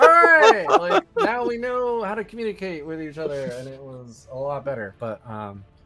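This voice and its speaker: Noticeable background noise accompanies a man as he talks at a moderate pace. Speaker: tabletop wargaming YouTuber, tournament player. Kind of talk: casual chat. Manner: halting.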